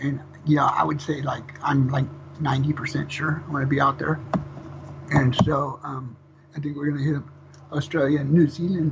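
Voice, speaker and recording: Noticeable background noise sits behind a man with a fairly high pitch. His intonation is monotone and flat, broken by long, frequent pauses. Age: 50s. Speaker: death metal vocalist. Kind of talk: interview. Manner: fast.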